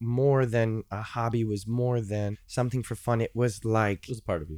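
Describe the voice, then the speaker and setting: At a moderate pace and medium pitch, a man speaks in a plain, everyday voice on a very clean recording with a silent background. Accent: American. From US Midwest, Chicago. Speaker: singer-songwriter and music educator. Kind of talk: casual interview chat. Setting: studio.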